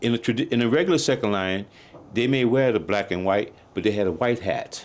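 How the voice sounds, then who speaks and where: The speaker moves at a fairly quick pace with ordinary pitch variation. Loudness stays very even throughout. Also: man, medium pitch for a man. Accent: New Orleans. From New Orleans, US South. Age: 60s. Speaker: jazz drummer. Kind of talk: interview.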